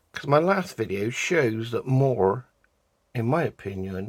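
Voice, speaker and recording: On a very clean recording with a silent background, a man with a British accent talks fairly slowly at a medium pitch. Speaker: resin art hobbyist. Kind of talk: tutorial. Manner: casual.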